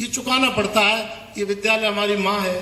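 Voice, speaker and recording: A raised, projected voice with fairly even intonation carries through audible room echo and noticeable background noise. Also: man. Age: 60s. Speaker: alumnus and lawyer, former local politician. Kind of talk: speech at alumni reunion. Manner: formal.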